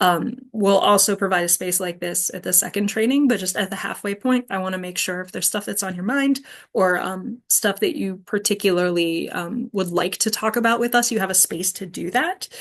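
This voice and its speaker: Speech at a fairly quick pace with ordinary pitch variation, set against a quiet background. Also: woman, medium pitch for a woman, hardly any pauses. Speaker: trainer leading facilitator training. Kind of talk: online training session, open discussion. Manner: fast.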